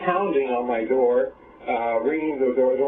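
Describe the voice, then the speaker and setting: A man's voice over music in the background. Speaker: person reporting a crime to social services. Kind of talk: meeting with social workers. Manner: halting, many fillers; gets loud when excited.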